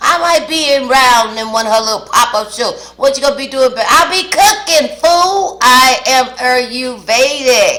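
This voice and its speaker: A woman with a high voice talks at a fairly slow pace, raised and projected, in an animated tone with hardly any pauses. There is noticeable background noise. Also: lively intonation. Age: 60s. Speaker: mukbang vlogger. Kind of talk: casual chat to camera while eating. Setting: home kitchen.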